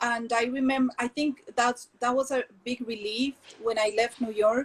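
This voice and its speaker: A woman's high-pitched voice in a Colombian accent, fairly slow, with a dry, close sound and no echo. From Colombia, Medellín. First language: Spanish. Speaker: textile entrepreneur. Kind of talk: interview conversation. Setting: video call. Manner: halting, many fillers.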